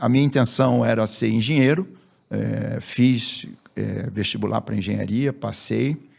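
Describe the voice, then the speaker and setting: A very clean recording with a silent background of a man at a moderate pace. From Rio de Janeiro, Brazil. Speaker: business executive. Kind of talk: interview.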